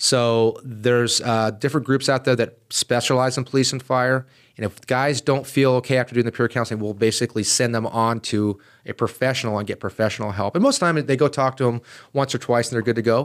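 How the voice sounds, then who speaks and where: Recorded very cleanly against a silent background, a man speaks at a very fast pace with medium pitch and fairly even intonation. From US, San Diego East County, California. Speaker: fire chief. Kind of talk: interview.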